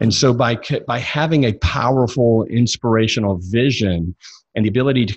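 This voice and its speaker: At a moderate pace, the speaker talks with a Southern US accent and ordinary pitch variation over a quiet background. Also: man. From US South, Mississippi. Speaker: success coach. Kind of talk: interview.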